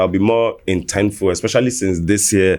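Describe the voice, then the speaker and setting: With an American accent, a man speaks at a fairly quick pace and ordinary pitch variation. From mixed: New York, UK and Nigeria. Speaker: rapper and songwriter. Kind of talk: podcast interview. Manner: casual, repetitive fillers.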